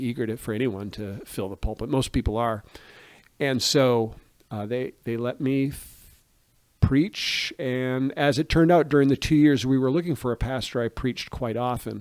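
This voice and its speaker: Speaking in an American accent, a man with an unremarkable speaking voice uses a medium pitch, ordinary pitch variation and a moderate pace. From US Northeast (Maine). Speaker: pastor. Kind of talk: interview. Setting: podcast interview.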